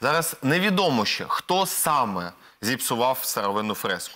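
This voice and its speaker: The voice has a bright, sharp tone and very wide pitch swings, moving at a fairly slow pace. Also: man. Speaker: political expert; guest. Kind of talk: panel discussion. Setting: TV studio. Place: studio.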